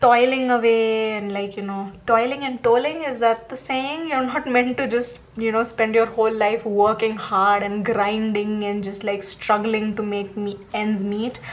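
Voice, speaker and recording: A woman's fairly high voice at a fairly slow pace, fairly even in intonation, with hardly any pauses, over noticeable background noise. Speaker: tarot reader. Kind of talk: tarot reading monologue.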